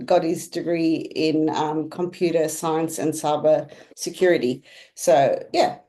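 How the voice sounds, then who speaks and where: Against a quiet background, a woman speaks at a fairly slow pace with a fairly low pitch and a dark, mellow tone. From South Africa. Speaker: real estate agent. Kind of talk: interview. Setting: live stream.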